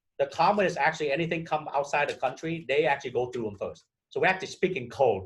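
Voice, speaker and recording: Speaking at a very fast pace, a man with a Vietnamese accent uses a fairly high pitch. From Vietnam, emigrated at 12 to Minnesota. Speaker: real estate broker. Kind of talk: interview. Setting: podcast.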